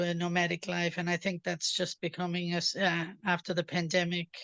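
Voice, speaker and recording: A woman with an Irish accent talks at a medium pitch against a quiet background. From Ireland. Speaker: participant in online Q&A. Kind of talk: casual chat. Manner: halting, many fillers.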